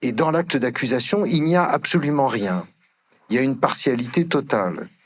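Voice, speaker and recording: Lively intonation marks a man's a plain, everyday voice as he talks at a moderate pace. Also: medium pitch for a man. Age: 60s. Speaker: emeritus law professor. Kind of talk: conference panel talk. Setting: conference hall with audience.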